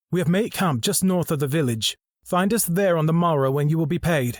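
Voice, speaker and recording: A man puts on a character voice, high-pitched for a man, with ordinary pitch variation and very even loudness. He talks at a fairly quick pace on a very clean recording with a silent background. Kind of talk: fantasy audiobook dialogue. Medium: read story. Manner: measured, formal, reserved.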